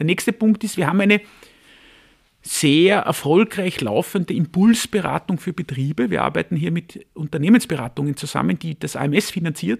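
A man with a high pitch speaks at a moderate pace with lively intonation. The sound is dry and close, with no echo. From Austria, Vienna. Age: 40s. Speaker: labour market agency head. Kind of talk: interview.

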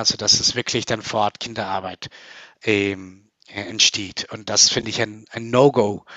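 With a Spanish accent, the speaker goes at a very slow pace with fairly even intonation. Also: man. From Colombia. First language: Spanish (speaking German). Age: 30s. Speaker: company founder. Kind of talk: interview. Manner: hesitant with many fillers.

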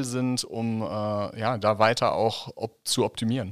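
A man with a medium-pitched, normal speaking voice talks in a fairly even intonation on a very clean recording with a silent background. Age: 40s. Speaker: podcast host, nonprofit director. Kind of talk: interview.

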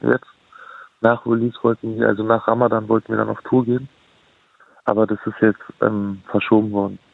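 A man's medium-pitched voice, relaxed in tone, with flat, monotone intonation. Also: long, frequent pauses. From Berlin, Kreuzberg. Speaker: rapper. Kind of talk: casual interview. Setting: phone call.

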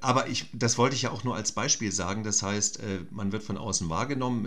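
This man has an ordinary speaking voice, fairly low in pitch. He talks at a fairly quick pace with ordinary pitch variation. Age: 50s. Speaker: actor. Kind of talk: casual chat.

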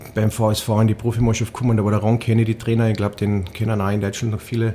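Speaking with a strong Carinthian accent, a man has a medium pitch. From Austria, Carinthia (Villach). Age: 40s. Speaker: ice hockey coach, former player. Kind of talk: casual interview. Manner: hesitant, many repetitions.

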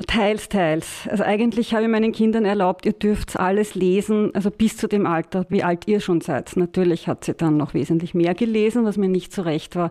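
A woman with a normal speaking voice talks at a moderate pace in a medium pitch, with ordinary pitch variation. Her loudness stays very even, and there are hardly any pauses. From Austria, Styria and Vienna. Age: 50s. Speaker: writing trainer and psychologist. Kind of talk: casual interview chat.

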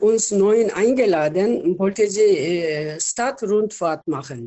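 Using lively intonation, a woman with a Korean accent talks at a medium pitch and a very slow pace. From South Korea. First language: Korean (speaking German). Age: 70s. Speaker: retired nurse. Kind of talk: interview. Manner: halting.

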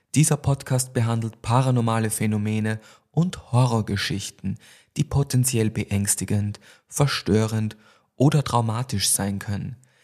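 A man's plain, everyday voice at medium pitch, with ordinary pitch variation and a fairly slow pace, in a very clean recording against a silent background. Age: 30s. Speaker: podcast host. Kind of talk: casual chat; scripted storytelling narration.

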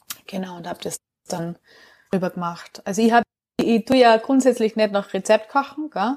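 With a Salzburg accent, a woman of fairly high pitch speaks at a moderate pace with ordinary pitch variation, big swings in loudness and long, frequent pauses, in a dry, close recording with no echo. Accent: Austrian Bavarian (Salzburg). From Austria, southern Salzburg. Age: 30s. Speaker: herbal educator and nutrition trainer. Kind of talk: casual interview.

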